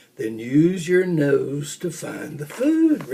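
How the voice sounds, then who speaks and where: A man puts on a character voice, fairly high in pitch, and speaks at a very slow pace. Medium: read story. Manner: gentle, patient.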